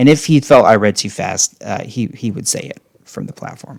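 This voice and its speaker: A man with an ordinary speaking voice talks at a moderate pace, his medium pitch showing ordinary pitch variation. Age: middle-aged. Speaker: podcast host, former cult member. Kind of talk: casual chat.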